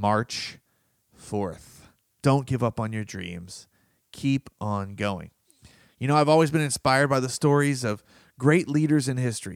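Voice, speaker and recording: Animated in tone and lively in intonation, a man speaks with long, frequent pauses. The recording is very clean with a silent background, and the sound is dry and close with no echo. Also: medium pitch for a man, fairly slow pace. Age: 30s. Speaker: podcast host and personal development author. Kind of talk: motivational monologue.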